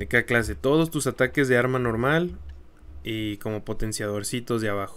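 Here a man speaks at a medium pitch. His intonation is lively and his pace moderate. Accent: Mexican. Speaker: gaming YouTuber. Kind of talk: tutorial. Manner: casual, conversational.

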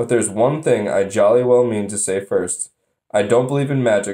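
Plain reading aloud plays out over a quiet background.

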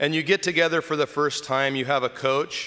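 A man speaks with a warm tone and ordinary pitch variation against a quiet background. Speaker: deacon preaching. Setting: church during Mass. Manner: warm, conversational, teaching. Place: church. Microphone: podium.

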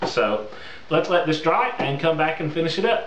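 Moderate pace over clear background noise. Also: man.

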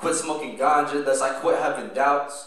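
The speech comes at a moderate pace with audible room echo. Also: man. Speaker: spoken word poet. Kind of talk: spoken word poetry performance. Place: stage.

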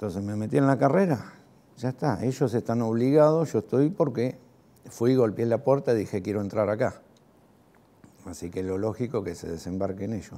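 Speaking at a moderate pace with a Rioplatense accent, a man uses lively intonation in a dark, mellow tone. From Argentina, Lanús (Greater Buenos Aires); Buenos Aires, Argentina. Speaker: war veteran. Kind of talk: testimony. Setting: recorded interview. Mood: reflective, calm, some animation. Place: home room.

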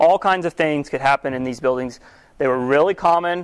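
At a moderate pace, this man talks in a normal speaking voice, fairly high for a man and with ordinary pitch variation. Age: 30s. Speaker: church teacher. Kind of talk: lecture. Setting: church hall with audience.

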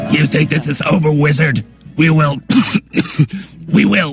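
A man performs a put-on character voice pitched fairly high, speaking at a moderate pace. Faint music plays in the background. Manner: menacing, threatening.

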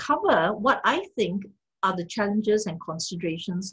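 Moderate pace over a quiet background. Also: woman. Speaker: speaker. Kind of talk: lecture. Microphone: video call.

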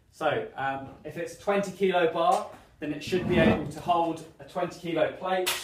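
A man with a high pitch speaks in fairly even intonation, with audible room echo and light background noise. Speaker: fitness instructor. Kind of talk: tutorial. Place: gym. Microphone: camera far.

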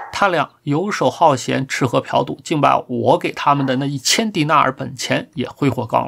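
The delivery is animated, at a moderate pace. There are hardly any pauses. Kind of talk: dramatic narration of a story, read aloud. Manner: animated, storyteller's tone that shifts between characters; measured, formal and ornate.

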